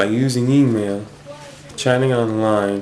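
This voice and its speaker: Amid noticeable background noise, a man with a fairly low pitch speaks at a fairly slow pace. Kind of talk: personal talk to camera. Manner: stutters.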